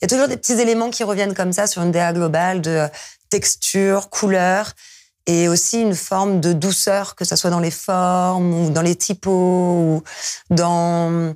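Over a quiet background, a woman at a fairly low pitch keeps very even loudness and fairly even intonation at a fairly slow pace. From France. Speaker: DJ and music producer; DJ, guest. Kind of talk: interview. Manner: hesitant, many fillers. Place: studio. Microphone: lapel.

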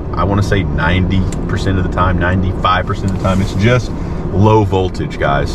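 Loud background noise surrounds a man speaking at a fairly slow pace. The sound itself is dry, with no echo. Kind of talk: casual vlog chat. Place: car. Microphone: camera far.

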